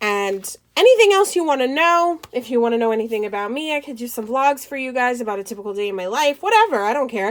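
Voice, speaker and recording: Racing along at a very fast pace with hardly any pauses, a woman speaks in a high pitch with lively intonation. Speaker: planner vlogger and small business owner. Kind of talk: casual tutorial flip-through.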